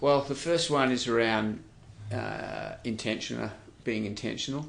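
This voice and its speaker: The speaker has an Australian accent and talks fairly slowly. There is audible room echo. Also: man, medium pitch for a man, ordinary pitch variation. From Western Australia. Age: 60s. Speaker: charity CEO. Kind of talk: interview.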